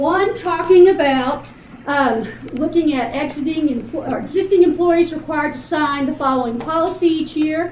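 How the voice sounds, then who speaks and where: At a moderate pace, a woman speaks at a high pitch, with noticeable background noise and audible room echo. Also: ordinary pitch variation. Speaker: college staff trainer presenting to faculty. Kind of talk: orientation presentation.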